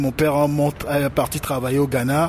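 Fairly high-pitched male voice, fairly even in intonation, with noticeable background noise. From Togo. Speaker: rapper and activist. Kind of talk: interview. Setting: remote call from Lomé.

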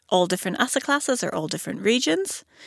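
A woman with an Irish accent is heard in a very clean recording with a silent background and a dry, close sound with no echo. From Ireland. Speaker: podcast host and investment analyst. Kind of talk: casual interview chat.

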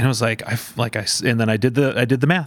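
Using an unremarkable speaking voice, a man talks at a medium pitch with fairly even intonation. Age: 30s. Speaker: youth pastor. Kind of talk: casual chat.

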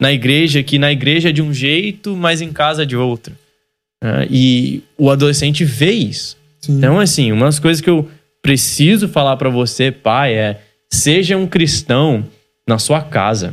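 A man with a fairly high-pitched voice talks while music plays behind him. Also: ordinary pitch variation, fairly slow pace. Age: 30s. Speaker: church youth pastor and podcast host. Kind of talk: casual chat.

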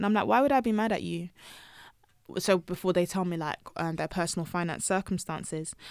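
With a London accent, a woman talks at a fairly quick pace and fairly low pitch. The recording is very clean, with a silent background. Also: ordinary pitch variation. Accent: British English (London). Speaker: personal finance blogger. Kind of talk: casual interview chat. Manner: animated.

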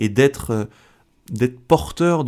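A man speaks at a medium pitch with ordinary pitch variation. The recording is very clean with a silent background. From France, Algerian parents. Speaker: comedian and convert giving testimony. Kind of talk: testimony. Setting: radio studio. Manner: halting, many repetitions.

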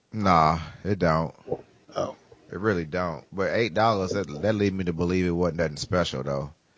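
A man with a very deep, low pitch, moderate pace and ordinary pitch variation. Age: 30s. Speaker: podcast host. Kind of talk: casual chat.

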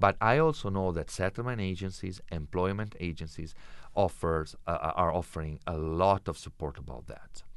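At a moderate pace and with ordinary pitch variation, someone speaks in an Italian accent against a quiet background. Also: man, very deep, low pitch for a man. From Italy. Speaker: intercultural education specialist. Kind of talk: interview. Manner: hesitant, many fillers.

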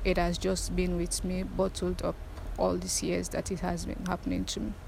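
Audible room echo surrounds a woman as she speaks. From Sierra Leone, Freetown. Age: 20s. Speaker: abuse survivor. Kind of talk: testimony.

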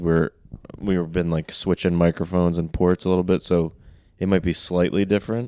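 A man speaks with a very deep, low pitch. His tone is dark and mellow, and his intonation fairly even. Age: 30s. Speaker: host's husband. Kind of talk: casual chat. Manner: loud.

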